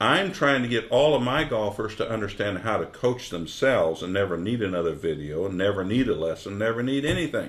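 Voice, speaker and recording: A man's fairly low voice at a fairly quick pace, with lively intonation and hardly any pauses. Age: 60s. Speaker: golf instructor. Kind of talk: tutorial. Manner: animated.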